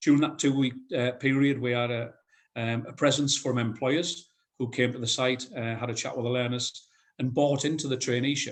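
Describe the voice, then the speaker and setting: In a northeast English accent, a man speaks at a medium pitch and a fairly quick pace with monotone, flat intonation. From North East England. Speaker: head of construction at a college. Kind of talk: conference presentation. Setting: video call.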